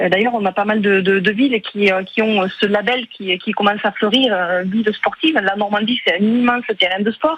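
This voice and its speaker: Noticeable background noise sits behind a woman speaking. She keeps a moderate pace and a very even loudness. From Aveyron, southwest France. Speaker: regional politician. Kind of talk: radio interview. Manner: hesitant, many filler euh.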